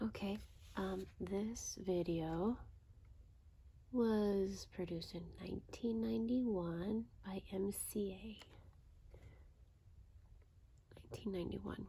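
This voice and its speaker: The pace is very slow and the voice soft-spoken. Pauses are long and frequent. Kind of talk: casual ASMR ramble talking to camera.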